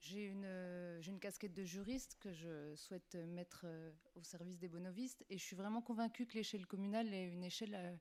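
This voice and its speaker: A woman in an ordinary speaking voice, fairly quick and with hardly any pauses, her intonation fairly even. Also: medium pitch for a woman. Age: 30s. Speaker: municipal election candidate. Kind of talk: candidate self-introduction.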